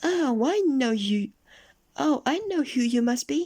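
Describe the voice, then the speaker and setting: In a put-on character voice, a woman speaks at a fairly slow pace with a high pitch. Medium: read story. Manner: playful, teasing.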